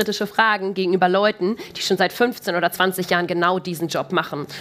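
A woman with a plain, everyday voice at a medium pitch and a moderate pace. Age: 30s. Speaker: corporate sustainability manager. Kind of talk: live podcast interview. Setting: stage with live audience.

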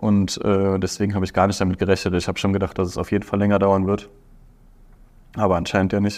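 Recorded very cleanly with a silent background, a man speaks in a monotone, flat intonation at a very fast pace, with long, frequent pauses. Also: fairly low pitch for a man. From Aachen, western Germany. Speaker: business graduate, consulting intern. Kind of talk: interview. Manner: hesitant, many fillers.

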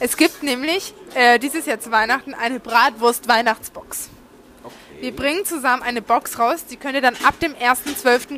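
This woman has a high pitch. Her pitch variation is ordinary. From Franconia, Nuremberg. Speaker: podcast host. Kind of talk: sales pitch; casual chat.

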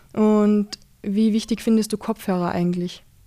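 A woman is talking. Her pitch is medium. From Austria, rural Carinthia. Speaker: podcast host. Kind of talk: casual interview. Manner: animated.

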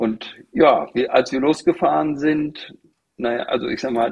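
A man is speaking. His pace is very slow. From Germany, Teutoburg Forest (East Westphalia). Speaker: utility company employee and motorhome traveller. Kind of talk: casual chat.

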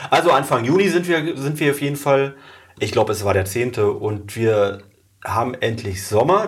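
Somewhat breathy, a man talks at a moderate pace and medium pitch with lively intonation. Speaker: mayor and podcast host. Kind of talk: interview.

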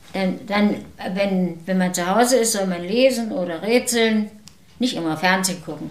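With audible room echo and noticeable background noise, a woman talks at a moderate pace in a medium pitch with ordinary pitch variation. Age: 80s+. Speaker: retiree. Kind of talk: casual chat.

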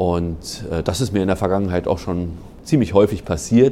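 A man speaks at a moderate pace with a fairly low pitch. He has an unremarkable speaking voice. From Berlin, Germany. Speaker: national park ranger and bird expert. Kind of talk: interview.

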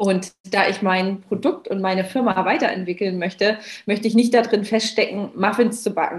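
A woman with a plain, everyday voice speaks at medium pitch and a moderate pace, with ordinary pitch variation. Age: 30s. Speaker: founder of a cupcake business. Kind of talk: casual interview.

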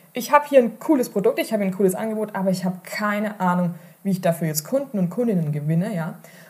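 A woman speaks with an animated tone and lively intonation. Her voice is somewhat breathy. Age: 30s. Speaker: online marketing podcast host. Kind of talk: solo podcast monologue.

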